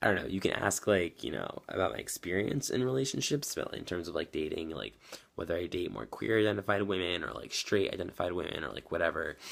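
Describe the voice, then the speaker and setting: A man with a very deep, low pitch rushes along at a very fast pace, his voice full of vocal fry. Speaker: vlogger. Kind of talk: video diary. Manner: many fillers, hesitant.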